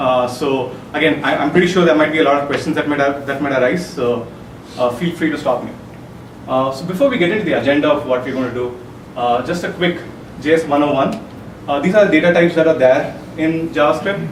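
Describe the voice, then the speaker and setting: The speech comes at a very fast pace with ordinary pitch variation. Audible room echo and noticeable background noise surround it. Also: man, fairly high pitch for a man. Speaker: software developer giving a tech talk. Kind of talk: conference talk. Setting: meetup presentation with audience. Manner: hesitant, many fillers.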